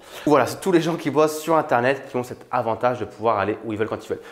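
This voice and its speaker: A man rattles off his words at a very fast pace, his pitch varying in an ordinary way. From France. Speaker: YouTuber, online entrepreneur. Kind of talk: casual vlog talk to camera. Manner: casual, with many fillers and hesitations.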